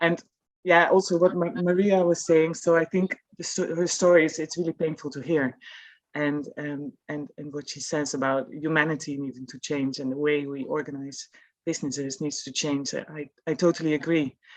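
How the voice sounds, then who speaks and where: This woman's voice sits very deep and low, moving at a moderate pace with fairly even intonation. Her loudness swings widely. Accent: Dutch. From Netherlands. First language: Dutch. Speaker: employer. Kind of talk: panel discussion.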